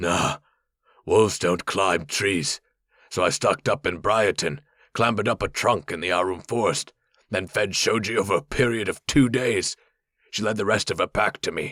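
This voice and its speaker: In a very clean recording with a silent background, a man performs a raspy put-on character voice at a fairly low pitch and a moderate pace. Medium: read story. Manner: plain, folksy.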